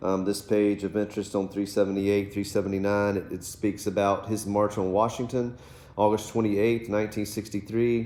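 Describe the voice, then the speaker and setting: A man with an American accent speaks at a fairly quick pace in a fairly low pitch and a dark, mellow tone. His intonation is monotone and flat, with audible room echo. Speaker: teacher. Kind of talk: lecture. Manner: fast.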